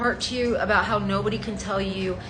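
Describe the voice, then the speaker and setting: There is audible room echo around a woman's voice. Noticeable background noise runs behind her. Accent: American. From New York, Colombian family. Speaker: content creator. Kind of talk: vlog monologue. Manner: animated.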